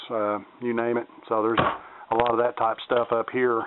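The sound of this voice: A man's clear, smooth tone at a moderate pace, with little pitch movement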